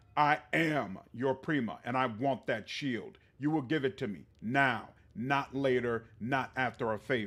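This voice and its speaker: A man's put-on character voice, growling at medium pitch, at a fairly slow pace. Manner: vicious, snarling, demanding.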